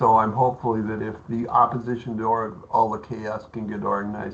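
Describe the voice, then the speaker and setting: There's noticeable background noise behind the man, whose voice sits at a medium pitch. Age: 70s. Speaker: real estate agent. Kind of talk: panel discussion. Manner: halting.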